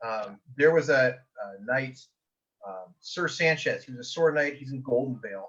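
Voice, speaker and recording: With an American accent, a man speaks at a moderate pace, his pitch varying in an ordinary way and his loudness making big swings. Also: medium pitch for a man. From US Pacific Northwest. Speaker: medieval combat game player, knight. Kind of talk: podcast interview. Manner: animated.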